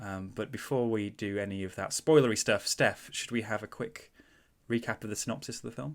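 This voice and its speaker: Using a Mancunian accent, a man talks at a fairly quick pace and a fairly low pitch, with ordinary pitch variation. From Manchester, northern England. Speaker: podcast host. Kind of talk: casual chat.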